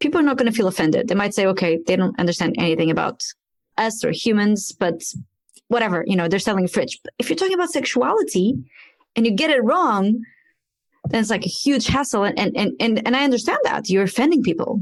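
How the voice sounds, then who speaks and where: A woman with a Portuguese accent talks at a very fast pace in a fairly high voice with very wide pitch swings. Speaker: podcast host. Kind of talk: interview podcast.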